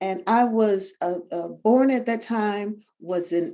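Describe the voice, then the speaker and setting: Speaking at a very slow pace, a woman has a dark, mellow tone and ordinary pitch variation. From US South, Tampa, Florida. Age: 70s. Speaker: retired attorney and journalist. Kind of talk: interview. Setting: video call.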